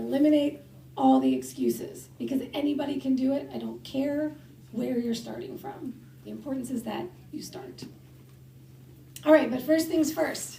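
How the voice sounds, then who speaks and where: A woman speaks at a moderate pace in an animated tone, with big swings in loudness and long, frequent pauses. Audible room echo fills the recording. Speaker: fitness coach speaker. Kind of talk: conference talk.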